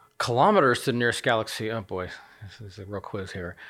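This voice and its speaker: Talking at a very fast pace, a man with an American accent shows ordinary pitch variation in a very clean recording with a silent background. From United States. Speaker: astronomer and university professor. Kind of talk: casual interview chat explaining science. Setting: in person studio.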